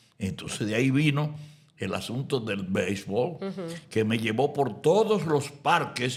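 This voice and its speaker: A man's somewhat breathy, medium-pitched voice with lively intonation at a fairly slow pace. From Dominican Republic. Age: 80s+. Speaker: announcer. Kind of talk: interview answer.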